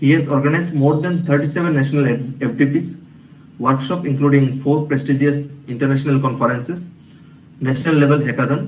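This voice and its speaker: A quiet, somewhat breathy man at a fairly high pitch, fairly even intonation and a fairly quick pace, with audible room echo. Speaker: event moderator introducing speaker. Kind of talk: speaker introduction at online workshop. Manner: halting, many fillers; too quiet at first.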